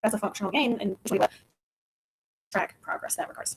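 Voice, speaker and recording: A woman talks at a fairly quick pace in a somewhat breathy, fairly high voice with very wide pitch swings. The sound is dry and close, with no echo. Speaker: physical therapist. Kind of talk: webinar presentation. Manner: fast.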